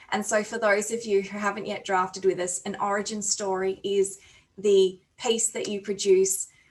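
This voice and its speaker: A woman with an Australian accent talks at a medium pitch. Her intonation is monotone and flat. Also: moderate pace. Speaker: conference chair. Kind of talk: conference plenary speech. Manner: hesitant, many fillers.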